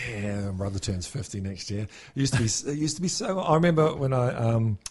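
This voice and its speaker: A man talks at a very fast pace in a medium-pitched voice that swings very widely up and down. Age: 40s. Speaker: podcast host. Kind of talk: casual chat.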